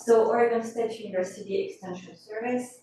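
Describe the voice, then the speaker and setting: A woman speaks in a French accent, with audible room echo. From France, Corsica. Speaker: coastal hazard specialist. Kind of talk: presentation at public meeting. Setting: council committee meeting.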